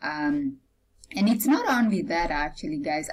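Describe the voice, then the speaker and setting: A woman talks with lively intonation. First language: not English; English is her third language. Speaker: blogger. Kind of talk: product review vlog. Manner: casual, many fillers (um, uh).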